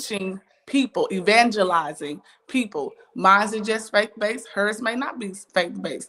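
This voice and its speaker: A loud, animated woman at a fairly high pitch and a moderate pace, with ordinary pitch variation. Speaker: church elder and business coach hosting a talk show. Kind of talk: casual interview chat.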